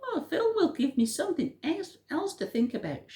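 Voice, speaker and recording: A female-sounding, squeaky put-on character voice goes at a moderate pace with a high pitch. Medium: read story.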